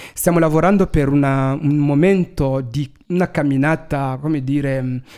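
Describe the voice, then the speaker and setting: The pace is moderate, with ordinary pitch variation. A dark, mellow tone colors the voice. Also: man. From Congo. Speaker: activist, march organizer. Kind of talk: radio interview. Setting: studio.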